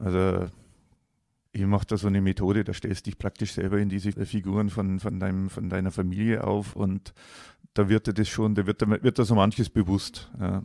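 A dark, mellow voice speaks at a moderate pace with monotone, flat intonation. The recording is very clean and dry, close with no echo and a silent background. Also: man, fairly low pitch for a man. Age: 50s. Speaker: coaching client sharing his life story. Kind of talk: personal testimony in a casual interview. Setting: in person, face to face. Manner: halting, with many fillers.

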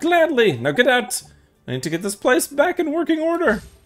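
Over faint music in the background, a man does a put-on character voice, raised and projected, at an extremely high pitch and a fairly quick pace.

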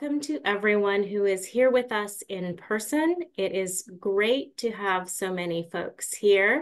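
The speech moves at a very slow pace against a quiet background. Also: woman. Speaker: webinar moderator. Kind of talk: moderating a webinar. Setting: video call. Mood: warm, welcoming. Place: home room. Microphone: video call.

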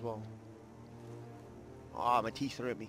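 Music in the background behind a man at a medium pitch, moderate pace, monotone, flat intonation and a relaxed tone. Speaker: gaming YouTuber. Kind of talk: casual gameplay commentary. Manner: relaxed, chill.

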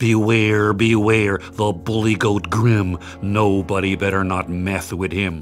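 A booming, put-on character voice from a man, fairly low in pitch, at a fairly slow pace. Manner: menacing, bellowing.

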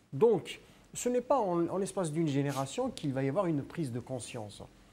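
Speaking at a fairly slow pace, a man with a dark, mellow tone lets his pitch swing very widely. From Algeria. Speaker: pro-democracy activist; studio guest or commentator. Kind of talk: political talk show debate. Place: studio. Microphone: lapel.

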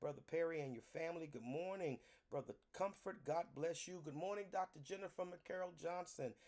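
A man with a high voice and ordinary pitch variation speaks at a moderate pace over a quiet background. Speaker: pastor leading online prayer. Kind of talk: sermon-style greeting and welcome. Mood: warm, reverent. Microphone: phone near.

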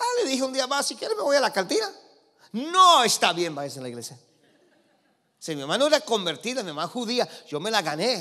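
A man talks very fast in a raised, projected voice, extremely high-pitched, with very wide pitch swings, an animated tone and long, frequent pauses, over a quiet background. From Los Angeles, California, of Cuban parents. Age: 50s. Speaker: preacher. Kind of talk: sermon. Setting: church with congregation. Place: church. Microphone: handheld.

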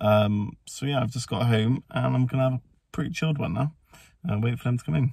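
The voice is somewhat breathy and moves at a fairly quick pace. The sound is dry with no echo against a quiet background. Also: man, ordinary pitch variation. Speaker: family vlogger. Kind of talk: casual vlog chat. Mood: cheerful, relaxed. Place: car. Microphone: phone near.

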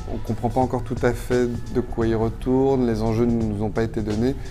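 With music playing clearly behind him, a man talks at a moderate pace. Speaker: interviewee, actor. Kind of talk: interview answer. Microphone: phone near.

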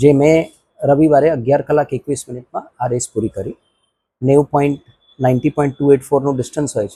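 Dry and close with no echo, this recording has a man speaking at a fairly high pitch. His tone is dark and mellow and somewhat breathy. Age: 50s. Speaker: amateur ultramarathon runner. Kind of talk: interview statement.

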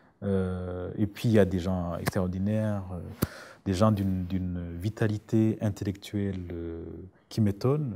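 In a Burundian accent, a man speaks very slowly with a very deep, low pitch and fairly even intonation. His tone is dark and mellow, over light background noise. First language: Kirundi (speaking French). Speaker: writer. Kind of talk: interview. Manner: halting. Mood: thoughtful, calm. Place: studio.

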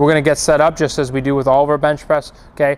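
At a very fast pace, a man talks. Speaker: fitness coach. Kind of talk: tutorial. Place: gym.

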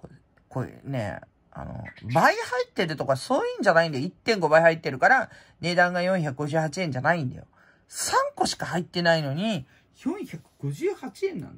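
Against a quiet background, a woman with a fairly low, somewhat breathy voice speaks at a moderate pace with lively intonation. She takes long, frequent pauses, and her loudness swings widely. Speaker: prize-contest hobbyist vlogger. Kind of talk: casual chat. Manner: rambling, casual. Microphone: phone near.

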